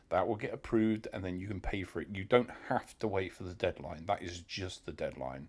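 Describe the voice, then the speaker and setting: A man talks with a British accent. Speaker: delivery rider and vlogger. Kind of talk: informal tutorial. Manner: hesitant, many fillers.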